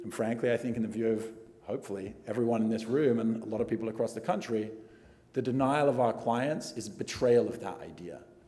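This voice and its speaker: The speech moves at a fairly quick pace. Noticeable background noise runs underneath. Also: man, medium pitch for a man, ordinary pitch variation. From England. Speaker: immigration attorney. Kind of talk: award acceptance speech.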